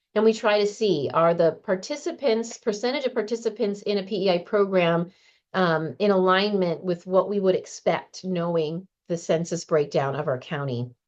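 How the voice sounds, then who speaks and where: Against a quiet background, a woman uses an unremarkable speaking voice at a medium pitch with lively intonation. She keeps a moderate pace with hardly any pauses. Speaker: county program manager. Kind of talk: slide presentation at a meeting.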